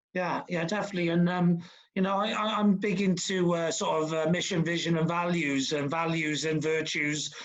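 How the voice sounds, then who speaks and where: A man talks fairly quickly in a Welsh accent. His intonation is monotone and flat. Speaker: podcast host. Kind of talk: podcast interview. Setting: video call.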